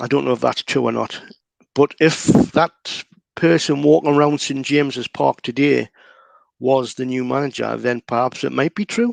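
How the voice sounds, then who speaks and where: Here a man talks with a Geordie accent at a medium pitch. The recording is dry and close, with no echo. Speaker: local Newcastle guest. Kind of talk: casual chat.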